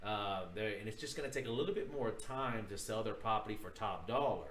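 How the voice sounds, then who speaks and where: A man's lively, varied intonation carries through clear background noise and an audible echo from the room. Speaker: real estate broker teaching a course. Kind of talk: livestream tutorial. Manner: casual, filler-heavy.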